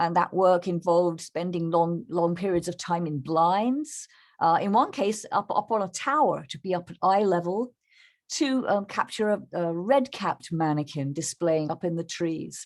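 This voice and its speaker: A woman's fairly low voice with ordinary pitch variation, at a moderate pace. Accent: English. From England. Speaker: bird photographer. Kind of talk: presentation. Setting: video call. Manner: halting.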